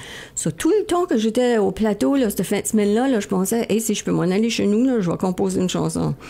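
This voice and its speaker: A woman talks at a fairly quick pace with hardly any pauses. Background noise is noticeable. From Acadian New Brunswick, Baie-Sainte-Anne. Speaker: country singer. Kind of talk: radio interview. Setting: radio studio. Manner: casual, animated.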